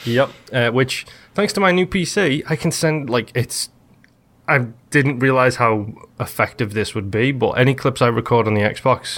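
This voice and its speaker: An American-accented man with lively intonation at a moderate pace, on a very clean recording with a silent background. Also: medium pitch for a man. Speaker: gaming podcast host. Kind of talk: casual chat.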